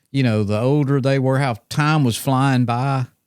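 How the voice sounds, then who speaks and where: In an Alabama accent, a man speaks at medium pitch and a fairly slow pace. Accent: Southern US (Alabama). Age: 60s. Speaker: podcast host. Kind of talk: casual chat. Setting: studio.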